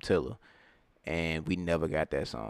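Man with a very deep, low pitch and vocal fry, moderate pace, on a very clean recording with a silent background. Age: 20s. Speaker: podcast co-host. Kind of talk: casual chat. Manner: animated.

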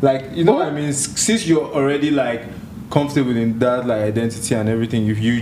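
A man rattles through his words at a very fast pace while noticeable background noise fills the recording. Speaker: podcast host. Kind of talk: casual podcast chat. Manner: energetic, slangy.

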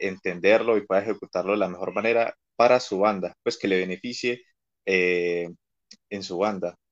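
With a plain, everyday voice, a man speaks at a moderate pace, fairly low in pitch and with fairly even intonation, in a dry, close sound with no echo. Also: quiet background. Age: 20s. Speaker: marching band teacher. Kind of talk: casual chat.

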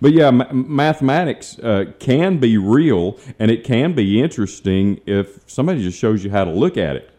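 Over a quiet background, a man with a dark, mellow tone speaks at a moderate pace, his pitch swinging very widely. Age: 50s. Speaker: radio host and financial planner. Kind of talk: radio talk show chat. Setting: radio studio. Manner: conversational, storytelling.

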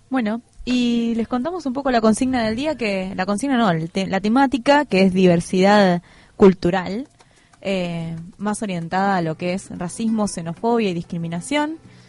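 A woman talks at a moderate pace with lively intonation and a medium pitch. Hers is a plain, everyday voice. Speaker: community radio host. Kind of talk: casual radio chat. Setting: radio studio.

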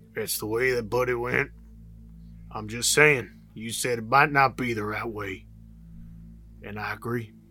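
A man uses a raspy, put-on character voice at a medium pitch, with big swings in loudness. He leaves long, frequent pauses, and there is clear background noise. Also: moderate pace. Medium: actual play. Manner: terse.

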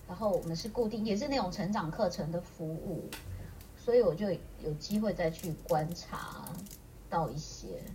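Amid noticeable background noise, a woman speaks at a fairly slow pace with very wide pitch swings. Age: 50s. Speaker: aromatherapist. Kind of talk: casual interview chat.

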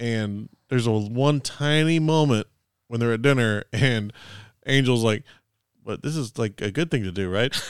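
An unremarkable speaking voice from a man, medium in pitch with ordinary pitch variation, at a moderate pace, in a very clean recording with a silent background. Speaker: podcast host. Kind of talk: casual banter, movie discussion. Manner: joking, bantering.

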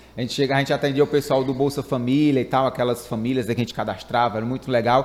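A man speaks with a Ceará accent. The recording is very clean, with a silent background. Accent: Ceará Northeastern Brazilian. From Fortaleza, Ceará, Brazil. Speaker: podcast host. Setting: studio.

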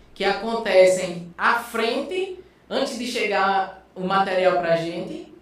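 A man's high voice at a very slow pace with ordinary pitch variation, amid noticeable background noise and audible room echo. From Brazil, Alagoas (Northeast). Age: 20s. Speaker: biomedical scientist. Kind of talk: casual interview chat. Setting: studio.

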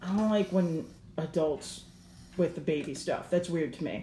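A woman talks with her pitch varying in an ordinary way. Her voice has a somewhat breathy quality. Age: 30s. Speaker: podcast host, comic artist. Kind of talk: casual chat.

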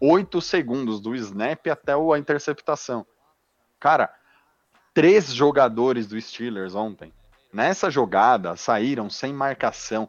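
Talking at a very slow pace with long, frequent pauses, a man uses lively intonation. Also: medium pitch for a man. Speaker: NFL fan commentator. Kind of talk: casual sports talk. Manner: animated.

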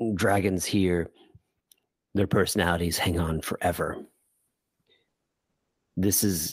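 In a put-on character voice, a man rumbles in a very deep, low, gravelly pitch at a fairly slow pace, with long, frequent pauses. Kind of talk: fantasy game master character voice. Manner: slow, solemn, gentle.

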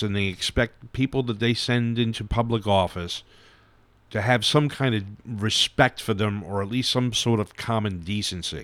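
The speaker has a New York accent and fairly even intonation. The pace is moderate on a very clean recording with a silent background. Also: man. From New York City, Brooklyn and Staten Island. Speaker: podcast co-host. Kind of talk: casual chat.

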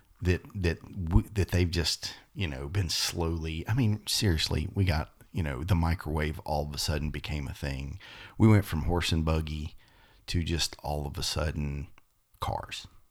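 A man's very deep, low voice with vocal fry, at a moderate pace. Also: ordinary pitch variation. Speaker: podcast co-host. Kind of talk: casual religious discussion.

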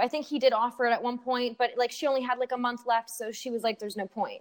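A woman with a Canadian accent talks at a very fast pace. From Canada. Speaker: student abroad and performer. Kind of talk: casual chat. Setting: long-distance online call. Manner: fast talker.

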